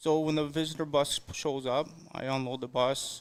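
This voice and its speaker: A man with a Canadian accent talks in a normal speaking voice at a fairly high pitch. His intonation is fairly even, and the recording is very clean with a silent background. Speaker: clubhouse attendant. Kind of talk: interview.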